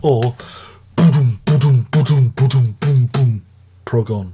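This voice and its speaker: In an English accent, a man talks at a fairly slow pace, his somewhat breathy voice dark and mellow in tone, with ordinary pitch variation. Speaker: music reviewer. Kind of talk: casual video review monologue. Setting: at home, early morning. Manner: quiet.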